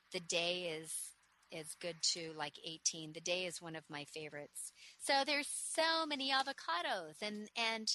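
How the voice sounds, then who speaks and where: A woman speaks at a fairly low pitch with very wide pitch swings and big swings in loudness. Her tone is enthusiastic and warm, and also bright and sharp. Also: moderate pace. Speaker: nursery owner and radio host. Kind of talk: radio sales pitch, street seller style. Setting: radio studio. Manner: warm, upbeat, chatty; enthusiastic, rattling off lists.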